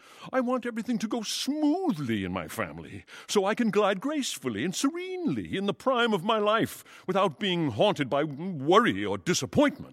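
A put-on character voice with a fairly bright tone, very wide pitch swings and few pauses. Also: man, high pitch for a man, moderate pace.

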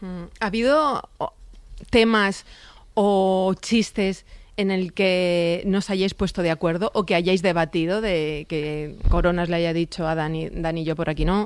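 A woman speaks at a fairly slow pace and fairly low pitch, with a clear, smooth tone and fairly even intonation.

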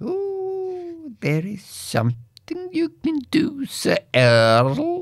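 Very slow yet with hardly any pauses, a put-on character voice speaks at a high pitch. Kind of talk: archaic, old-fashioned. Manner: whispering, secretive.

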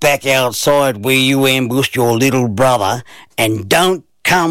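With fairly even intonation, the speaker is reading aloud in a natural voice.

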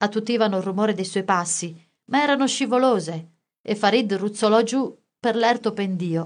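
The recording holds an unforced reading voice, ordinary pitch variation, and a quiet background.

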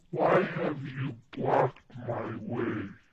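A put-on character voice comes through breathy and low-to-middle in pitch. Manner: scary, threatening.

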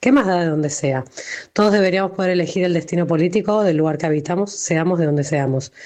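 A woman at a fast pace, with a fairly low pitch and a slightly mellow tone. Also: ordinary pitch variation.

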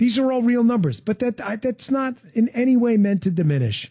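At a moderate pace, a man speaks with big pitch swings in a dark, mellow tone that carries a slightly husky edge.

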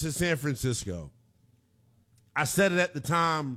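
A man talks at a slow pace. His tone is fairly bright.

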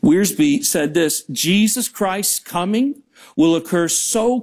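Lively intonation in a plain read-aloud delivery

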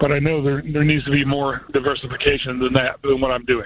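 The pace is fairly quick, with little pitch movement. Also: man, medium pitch for a man.

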